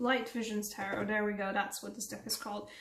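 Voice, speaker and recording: A voice with a non-native accent and fairly even intonation, with audible room echo. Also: woman. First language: not English. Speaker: tarot reader. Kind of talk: tarot reading to camera. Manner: casual, conversational.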